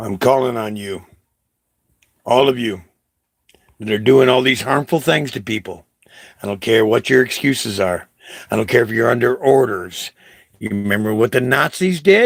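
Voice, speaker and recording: A man speaks in an animated tone at a moderate pace, his pitch medium with ordinary variation. Long pauses come often. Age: 60s. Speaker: vlogger. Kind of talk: impassioned monologue. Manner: halting.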